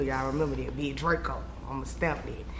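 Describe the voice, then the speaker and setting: A woman's moderately paced speech, with audible room echo and noticeable background noise. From Raleigh, North Carolina. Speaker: rapper. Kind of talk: casual interview.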